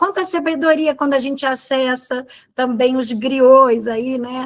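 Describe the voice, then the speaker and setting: A woman talks fairly slowly, her voice high-pitched and showing ordinary pitch variation. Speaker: teacher trainer. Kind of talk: training session.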